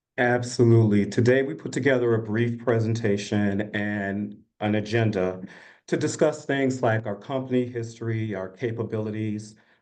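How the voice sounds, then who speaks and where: Audible room echo surrounds the voice. A man speaks with fairly even intonation. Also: medium pitch for a man, moderate pace. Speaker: management consultant. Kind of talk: business presentation.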